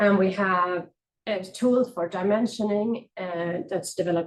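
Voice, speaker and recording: Speaking at a moderate pace with a Swedish accent, a woman uses a medium pitch and ordinary pitch variation. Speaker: architect presenting research. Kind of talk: conference presentation. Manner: halting, many fillers.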